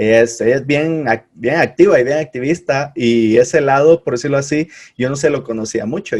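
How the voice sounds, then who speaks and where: Moving at a fairly quick pace, a man talks in an ordinary speaking voice. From Guatemala. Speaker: podcast host. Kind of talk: casual interview.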